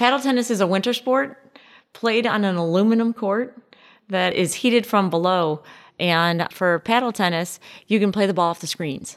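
With an American accent, a woman talks at a moderate pace in a plain, everyday voice with ordinary pitch variation. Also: medium pitch for a woman, very clean recording, silent background. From US Midwest, Chicago suburbs. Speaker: business owner. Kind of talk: casual interview. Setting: on location at her club.

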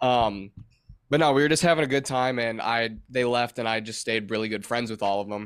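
A man speaks fairly quickly with a Midwestern American accent and ordinary pitch variation. The recording is very clean, with a silent background. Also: medium pitch for a man. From Michigan. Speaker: touring guitarist. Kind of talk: casual chat.

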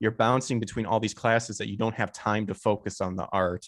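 A man with an American accent talks in a normal speaking voice at a medium pitch. His pace is fairly quick, his intonation fairly even, and the background quiet. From Illinois, US Midwest. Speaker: voice actor and streamer. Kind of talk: casual interview chat.

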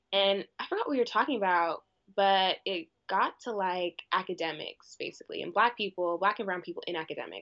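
A woman speaks in a plain, everyday voice. Her pitch is medium and varies in an ordinary way. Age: 20s. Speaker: university student and club president. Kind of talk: casual chat.

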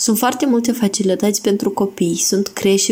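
A woman's medium-pitched voice at a moderate pace, fairly even in intonation, over noticeable background noise. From Moldova, Ungheni district. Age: young. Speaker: listener contributor. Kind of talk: recorded message.

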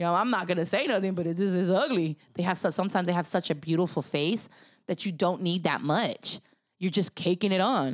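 Speaking with an American accent at a fairly quick pace, a woman with an unremarkable speaking voice has a medium pitch, ordinary pitch variation and very even loudness in a very clean recording with a silent background. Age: 30s. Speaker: hair and makeup artist. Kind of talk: casual interview chat.

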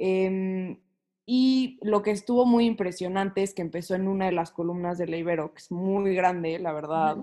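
The voice has a dark, mellow tone. Its pitch varies an ordinary amount. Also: woman, medium pitch for a woman, moderate pace. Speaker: psychology student. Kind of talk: casual chat.

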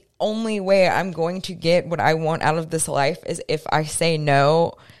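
A woman's voice in a very clean recording, silent background. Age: 20s. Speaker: podcast co-host, real estate broker. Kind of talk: casual chat. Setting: home recording.

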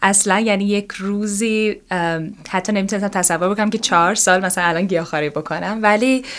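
A woman with a medium pitch speaks at a very fast pace with hardly any pauses. Her intonation stays fairly even. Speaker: yoga teacher. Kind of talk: interview.

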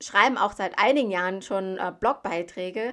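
The speech moves at a moderate pace with ordinary pitch variation, recorded very cleanly against a silent background. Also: woman. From Thailand. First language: Thai (speaking German). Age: 30s. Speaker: medical assistant and recruitment founder. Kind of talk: podcast monologue.

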